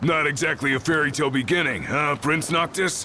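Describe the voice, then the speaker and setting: A man uses a raspy, put-on character voice at a fairly high pitch and a fairly quick pace. Background noise is clearly audible. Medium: video game.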